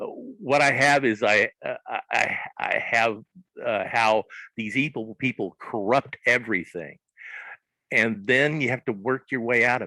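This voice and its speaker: The sound is dry and close with no echo as a man talks at a fairly slow pace. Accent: Southern US. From US South, southern Arkansas. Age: 60s. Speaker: comics creator. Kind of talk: interview. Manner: halting, many fillers.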